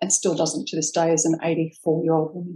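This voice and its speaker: The voice carries an Australian accent. Its tone is dark and mellow. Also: woman. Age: 50s. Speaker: ex-Jehovah's Witness sharing her story. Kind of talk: interview testimony. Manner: halting.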